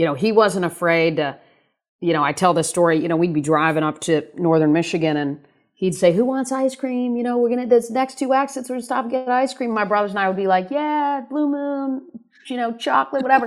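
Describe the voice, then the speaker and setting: Over a silent background in a very clean recording, a woman speaks at a fairly quick pace with very wide pitch swings. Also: fairly high pitch for a woman. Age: 50s. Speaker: former sports agent, keynote speaker and author. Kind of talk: interview.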